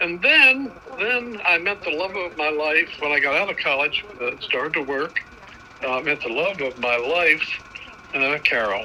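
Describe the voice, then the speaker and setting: Over noticeable background noise, a man with a high pitch talks at a moderate pace with very wide pitch swings. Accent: American. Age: 80s+. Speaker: grandfather, amateur home-movie maker. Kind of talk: casual interview, reminiscing. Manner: halting, with many uh fillers.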